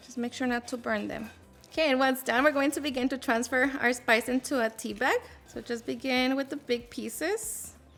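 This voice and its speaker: A woman with a Mexican accent talks in an upbeat tone at a high pitch and moderate pace, with music in the background. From Mexico. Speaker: home cook, cooking channel host. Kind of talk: cooking tutorial voice-over. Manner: upbeat, friendly.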